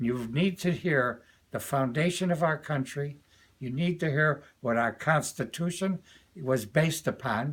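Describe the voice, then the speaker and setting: A man in an American accent speaks at a fairly slow pace, his fairly high pitched voice somewhat breathy, with ordinary pitch variation. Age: 80s+. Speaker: retired educator and commentator. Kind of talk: political and religious commentary to camera.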